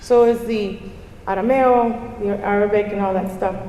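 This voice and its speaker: A woman with a Spanish accent at a fairly slow pace, with audible room echo. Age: 50s. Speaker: conference speaker. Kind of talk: conference talk. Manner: animated.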